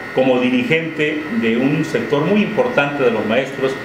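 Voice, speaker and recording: Over noticeable background noise, a man speaks fairly slowly with ordinary pitch variation. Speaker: interviewer, show host. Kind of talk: interview introduction. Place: office.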